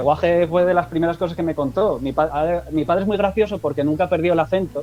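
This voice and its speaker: He has a normal speaking voice pitched fairly high. This man's pace is fairly quick. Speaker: stand-up comedian. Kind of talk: casual interview.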